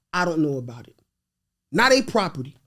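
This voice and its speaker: An animated man with a Haitian accent and very wide pitch swings. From New York, of Haitian parents. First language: Haitian Creole. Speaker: real estate investor. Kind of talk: podcast interview.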